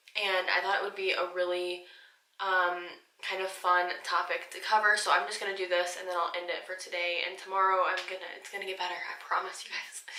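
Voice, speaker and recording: Speaking at a moderate pace, a woman uses a medium pitch and a monotone, flat intonation. Room echo is audible. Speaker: beauty vlogger. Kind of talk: casual vlog talk. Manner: halting, many fillers.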